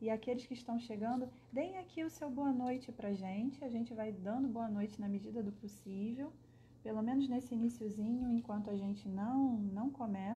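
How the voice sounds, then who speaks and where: A woman's fairly high voice with a Rio de Janeiro accent, moderate pace, ordinary pitch variation, and noticeable background noise. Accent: Carioca Brazilian Portuguese. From Brazil, Rio de Janeiro. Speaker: spiritist speaker. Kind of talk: livestream talk. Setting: live online broadcast.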